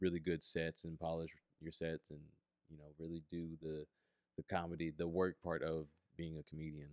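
At a moderate pace, a man speaks in a monotone with a very deep, low pitch, the sound dry and close with no echo. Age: 30s. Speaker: stand-up comedian. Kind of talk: casual chat.

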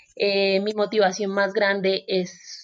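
A woman speaks at a medium pitch. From Colombia, Buenaventura (Pacific coast, Valle del Cauca). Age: 20s. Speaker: podcast host and journalist. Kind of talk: solo podcast monologue. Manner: warm.

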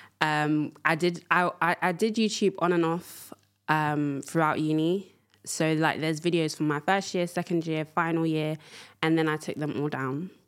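Very deep, low-pitched woman with a London accent, fairly even intonation, and a moderate pace. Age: 20s. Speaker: podcast host. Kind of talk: casual monologue. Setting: studio.

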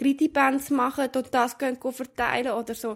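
On a very clean recording with a silent background, a woman with a Swiss accent talks at a moderate pace and a high pitch. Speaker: podcast co-host. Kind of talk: casual chat. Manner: calm.

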